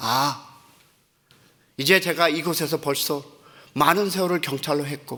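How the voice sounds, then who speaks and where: With a bright, sharp tone and a fairly high pitch, a man speaks at a fairly slow pace with fairly even intonation and long, frequent pauses. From Korea, then raised in the US from about age 12. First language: English is now his stronger language (speaking Korean). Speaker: pastor. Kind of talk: sermon. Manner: halting, searching for Korean words.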